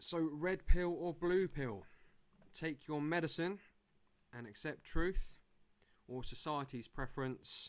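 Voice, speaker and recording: A man speaks with an English accent at a fairly slow pace. The recording is very clean, with a silent background. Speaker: presenter. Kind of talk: presentation.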